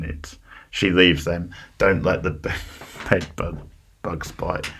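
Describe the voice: In a put-on character voice with a Cockney accent, a man speaks very slowly in a raspy, very deep, low pitch, with audible echo.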